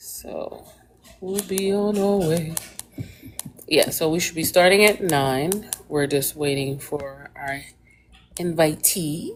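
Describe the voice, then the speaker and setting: Speech comes at a very slow pace with long, frequent pauses and ordinary pitch variation. Noticeable background noise runs underneath. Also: woman, fairly low pitch for a woman. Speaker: livestream host interviewing parents. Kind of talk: casual live stream chat. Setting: live video stream. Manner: calm, even.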